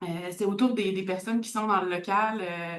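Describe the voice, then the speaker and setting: This woman has a normal speaking voice at a medium pitch. She keeps a moderate pace with fairly even intonation. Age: 30s. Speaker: community organization worker. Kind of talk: conference talk.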